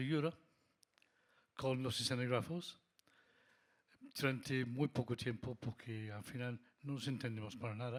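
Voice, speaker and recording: The speaker has a strong non-native accent and ordinary pitch variation. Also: man. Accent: foreign accent in Spanish, still strong. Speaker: lighting designer. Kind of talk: panel discussion.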